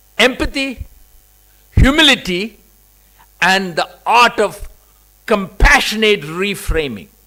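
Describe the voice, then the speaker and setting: In a raised, projected voice with lively intonation, the speaker goes at a very slow pace, leaving long, frequent pauses. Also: man, high pitch for a man. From India, Kerala. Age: 60s. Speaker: convocation speaker. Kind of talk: commencement speech.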